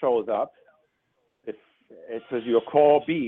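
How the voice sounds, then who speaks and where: A man with a fairly high pitch speaks with a German accent. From Germany. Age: 50s. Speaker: relationship coach. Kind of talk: radio interview. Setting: phone call. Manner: halting, repeats words.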